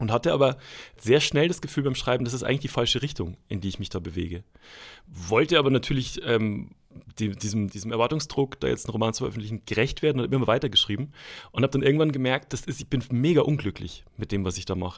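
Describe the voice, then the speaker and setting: Speaking at a very fast pace with lively intonation, a man with a medium pitch is heard on a very clean recording with a silent background. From Bavaria (Schwandorf, Upper Palatinate). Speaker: author and comedy writer. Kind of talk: interview.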